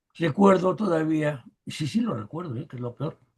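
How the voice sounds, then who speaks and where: A man talks at a moderate pace with a dark, mellow tone. His voice is somewhat breathy. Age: 80s+. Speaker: rock keyboardist and teacher. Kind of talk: podcast interview.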